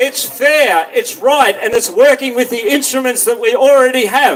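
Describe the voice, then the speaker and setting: An Australian-accented man at an extremely high pitch, moderate in pace with ordinary pitch variation, over noticeable background noise. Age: 60s. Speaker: minor party political candidate. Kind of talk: campaign speech at a rally.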